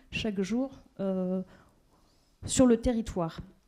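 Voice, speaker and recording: The recording is very clean, with a silent background. A woman speaks in a dark, mellow tone with fairly even intonation. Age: 30s. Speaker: local elected official. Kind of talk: speech at a general assembly. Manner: halting, many hesitations.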